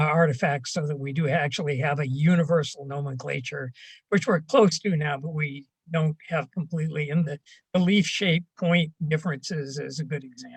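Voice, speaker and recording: Somewhat breathy, a man talks at a moderate pace in a fairly high pitch with ordinary pitch variation. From Canada. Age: 70s. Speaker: retired archaeology professor. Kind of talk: casual interview. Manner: halting, many fillers.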